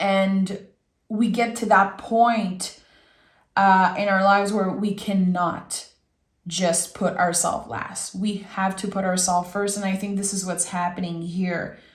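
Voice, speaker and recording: A woman of medium pitch speaks in a monotone, flat way at a fairly slow pace. Her somewhat breathy voice carries audible room echo. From Quebec. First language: French. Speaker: tarot reader. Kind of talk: tarot reading. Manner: warm, conversational.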